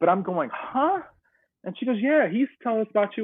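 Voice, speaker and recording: A man with an American accent at a very fast pace with lively intonation. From North Carolina, US South. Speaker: adoptee telling family story. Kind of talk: personal storytelling interview.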